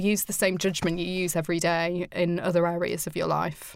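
This woman has a plain, everyday voice with a medium pitch. She talks at a moderate pace. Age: 30s. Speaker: cancer patient, civil servant. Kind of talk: casual chat. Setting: studio.

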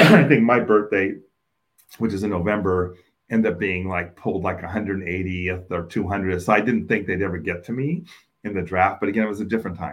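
Ordinary pitch variation marks speech delivered at a fairly quick pace. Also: man. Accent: American. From Oakland, California (East Oakland). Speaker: state government official. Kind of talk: interview.

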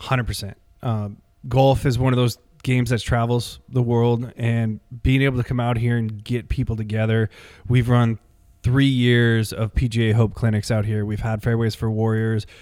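A man with an American accent, medium pitch, moderate pace and monotone, flat intonation. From Syracuse, New York. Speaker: golf professional and army veteran. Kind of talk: interview conversation. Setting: on-site at golf course.

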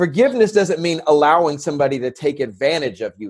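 An ordinary speaking voice: a man with an American accent, fairly high in pitch. His intonation is lively and his pace fairly quick. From San Diego, California. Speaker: podcast host. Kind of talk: casual interview chat.

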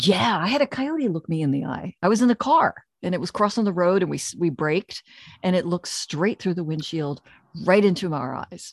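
A woman with an American accent talks at a fairly quick pace and a medium pitch, using lively intonation in a plain, everyday voice. The recording is very clean with a silent background, and the sound is dry and close with no echo. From US Northeast, Pennsylvania/New Jersey area. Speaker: podcast host, author and dog trainer. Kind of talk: casual interview chat.

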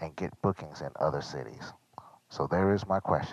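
A man speaks with an American accent and vocal fry, recorded with a dry, close sound and no echo. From Chicago. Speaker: DJ and military veteran. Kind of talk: voicemail question.

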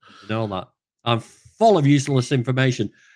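A man speaks with a northern English accent at a moderate pace. His pitch is fairly high, and the background is quiet. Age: 40s. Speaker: vegan activist. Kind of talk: casual chat. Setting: video call.

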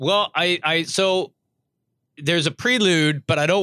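A man with a Canadian accent speaks at a fairly high pitch with lively intonation. The recording is very clean and dry, close with no echo, and the background is silent. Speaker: podcast host. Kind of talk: casual chat. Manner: loud; jokey, laughs often.

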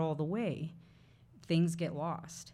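Somewhat breathy, a woman with a fairly low pitch speaks at a fairly slow pace. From Mexican-American family, farming community. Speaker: playwright. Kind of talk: live interview before audience. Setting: bookshop with live audience.

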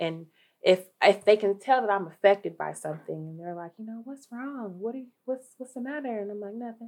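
A woman with an American accent talks in a normal speaking voice, at a medium pitch and with ordinary pitch variation. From Dayton, Ohio. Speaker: social work case manager. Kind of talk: interview.

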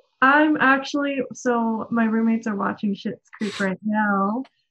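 A woman with an American accent speaks fairly slowly in a fairly high voice with ordinary pitch variation. A plain, everyday voice. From Denver, Colorado. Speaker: blogger and marketer. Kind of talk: casual interview chat.

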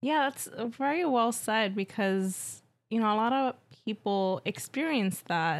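A woman with an American accent talks at a fairly slow pace and a fairly high pitch, with lively intonation, in an ordinary speaking voice. The recording is very clean, with a silent background. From New York. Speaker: guest co-host. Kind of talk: casual chat.

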